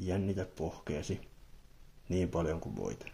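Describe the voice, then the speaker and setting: A very slow, soft-spoken man with a very deep, low pitch, a calm, dark, mellow tone and vocal fry. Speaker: ASMR creator. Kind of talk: ASMR relaxation guide, guided body relaxation. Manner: soft-spoken, calm, slow.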